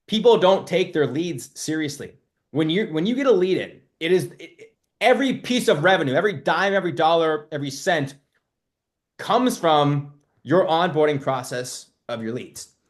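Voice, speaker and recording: A loud, animated man's voice, high in pitch and lively in intonation, at a moderate pace. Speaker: marketing coach for loan officers and realtors. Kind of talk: live webinar. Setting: live webinar.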